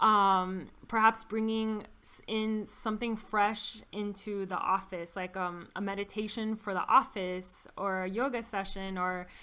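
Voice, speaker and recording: A woman with a bright, sharp tone and a medium pitch speaks with fairly even intonation on a very clean recording with a silent background. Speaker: occupational therapist. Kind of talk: interview. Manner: halting.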